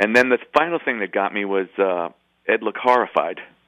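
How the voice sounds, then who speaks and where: With an American accent, a man talks at a fairly low pitch using lively intonation. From New York City (Bronx). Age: 50s. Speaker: rock guitarist. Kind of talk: interview.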